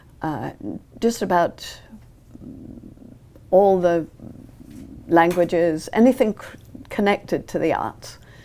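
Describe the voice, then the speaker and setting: A British-accented woman speaks at a very slow pace with long, frequent pauses, her pitch fairly low and varying in an ordinary way. Her tone is dark and mellow, and her loudness swings widely. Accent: British, persistent. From England, London. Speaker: ballet teacher. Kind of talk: TV interview.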